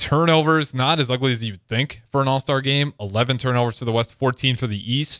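A man talks fairly quickly in a plain, everyday voice at medium pitch, with fairly even intonation. The recording is very clean, with a silent background. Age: 20s. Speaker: radio co-host and producer. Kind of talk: casual chat.

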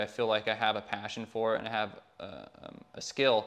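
A man talks at a medium pitch and a fairly quick pace. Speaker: filmmaker. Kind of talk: casual interview chat. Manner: casual, filler-heavy.

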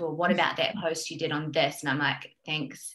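A woman talks with an Australian accent at a moderate pace. Her voice is very deep and low in pitch, with fairly even intonation. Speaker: health coach. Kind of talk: casual interview chat. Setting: remote call.

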